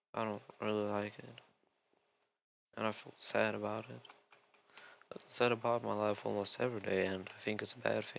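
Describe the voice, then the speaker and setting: A man with a non-native accent speaks with long, frequent pauses and big swings in loudness. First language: Russian. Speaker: gaming youtuber. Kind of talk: casual gameplay rant. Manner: rambling, distracted.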